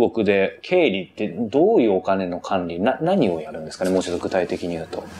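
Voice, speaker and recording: A man speaks at a moderate pace with lively intonation and big swings in loudness. Noticeable background noise sits behind him. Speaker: professional interviewer. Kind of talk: interview. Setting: interview in company office.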